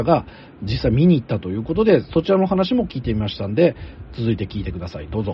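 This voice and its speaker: A man's medium-pitched voice with very wide pitch swings over noticeable background noise. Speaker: podcast host and anime commentator. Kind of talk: casual discussion.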